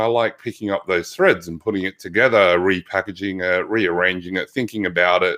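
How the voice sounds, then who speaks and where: A man with an Australian accent. He talks at a fairly quick pace. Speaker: physical therapist. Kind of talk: interview conversation.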